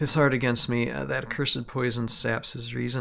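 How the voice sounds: Fairly even intonation runs through the clip. It is a natural reading voice.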